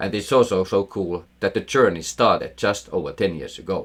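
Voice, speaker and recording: The speaker talks at a fairly quick pace in a Finnish accent. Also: man. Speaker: investing educator, former portfolio manager. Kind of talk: scripted narration.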